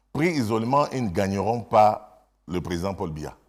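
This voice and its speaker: A man talks with very wide swings in pitch. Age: 60s. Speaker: politician, government minister. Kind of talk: TV interview. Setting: TV studio.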